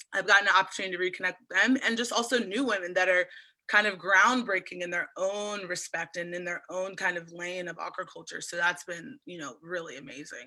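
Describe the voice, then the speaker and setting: A woman with a Mid-Atlantic American accent, medium pitch, a bright, sharp tone and hardly any pauses. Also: ordinary pitch variation, fairly quick pace. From Eastern Shore of Maryland, USA. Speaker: oyster farmer. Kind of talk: interview answer. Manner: casual, enthusiastic.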